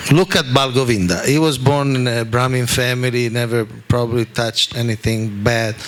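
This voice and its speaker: Over noticeable background noise, a man at medium pitch talks with fairly even intonation and hardly any pauses. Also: moderate pace. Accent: Italian. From Italy. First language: Italian. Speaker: spiritual teacher. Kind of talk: religious talk.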